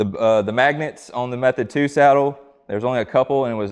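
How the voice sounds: A man's medium-pitched voice, fairly quick, with ordinary pitch variation and a clear, smooth tone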